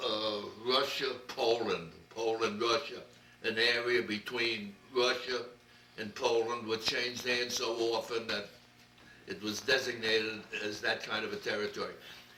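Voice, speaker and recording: A man with a New York accent speaks at a moderate pace in a medium pitch with monotone, flat intonation and long, frequent pauses, amid audible room echo and noticeable background noise. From New York City, Brooklyn. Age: 90s. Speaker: interviewee recounting his life. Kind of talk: oral history interview. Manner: halting.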